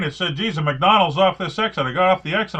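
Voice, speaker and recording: A man with a Boston accent, very fast pace and lively intonation. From Boston area, Massachusetts. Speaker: podcast host and comedian. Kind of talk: casual interview chat.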